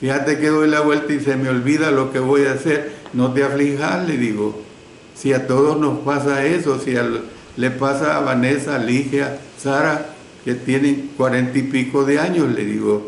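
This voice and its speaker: A man at fairly high pitch and moderate pace, monotone, flat intonation, very even loudness, audible room echo, and noticeable background noise. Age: 70s. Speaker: preacher. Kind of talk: sermon. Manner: conversational with fillers.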